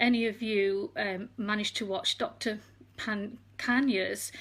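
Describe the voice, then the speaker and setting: A woman speaks. She has an English accent. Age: 60s. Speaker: retired nurse. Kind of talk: talk to an online group. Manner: hesitant, many fillers.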